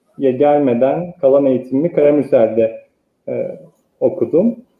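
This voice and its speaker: A man talks at a very slow pace over a quiet background, with audible room echo. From eastern Turkey (Sarıkamış, Kars). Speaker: architect. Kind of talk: interview. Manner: hesitant, many filler sounds. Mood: calm, reflective. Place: home room. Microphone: earbuds.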